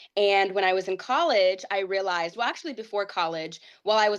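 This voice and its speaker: A woman's medium-pitched voice with a Midwestern accent, set against a quiet background. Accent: American Midwest. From Ohio, US (Whitehall). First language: Portuguese. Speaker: pageant titleholder. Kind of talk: interview.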